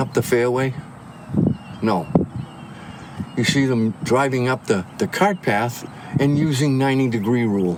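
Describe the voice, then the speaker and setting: A man's medium-pitched voice, fairly slow with lively intonation, over noticeable background noise. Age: 70s. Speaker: golf course marshal. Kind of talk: casual chat. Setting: outdoors on a golf course.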